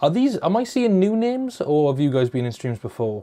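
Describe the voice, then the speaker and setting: With noticeable background noise behind him, a man talks at a fairly quick pace, his fairly high pitch making very wide swings. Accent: Welsh. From Wales. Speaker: YouTuber. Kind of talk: live stream chat. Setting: live stream. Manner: casual. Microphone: lapel mic close to mouth.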